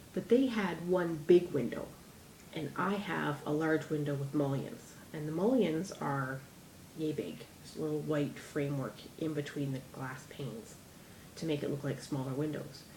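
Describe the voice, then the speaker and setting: Ordinary pitch variation and a moderate pace come through audible room echo and noticeable background noise. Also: woman, very deep, low pitch for a woman. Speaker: DIY crafts vlogger. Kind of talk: tutorial. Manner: chatty, rambling.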